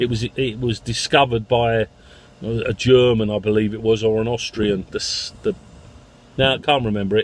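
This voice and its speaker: In a London accent, a man speaks fairly quickly at medium pitch with fairly even intonation. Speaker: taxi owner vlogger. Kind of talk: casual vlog monologue. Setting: in a car. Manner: halting, with many fillers.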